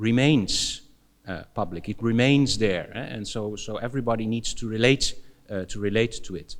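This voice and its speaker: With a Dutch accent, a man speaks at a moderate pace in a medium pitch with ordinary variation. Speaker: philosophy professor. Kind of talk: conference Q&A answer. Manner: halting, many fillers and repetitions.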